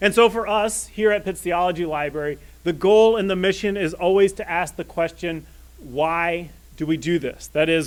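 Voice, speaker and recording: The voice is loud, moving at a moderate pace with ordinary pitch variation. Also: man. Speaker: library director. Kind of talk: opening remarks at a public event. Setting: stage with live audience.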